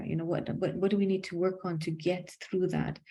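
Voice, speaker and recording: A woman speaks in a monotone, flat intonation. Her voice is somewhat breathy, with a dark, mellow tone. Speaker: executive coach. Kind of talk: casual interview.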